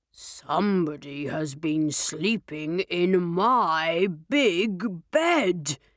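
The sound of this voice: This is a put-on character voice that sounds female and gruff. It sits at a middle pitch and moves at a very slow pace.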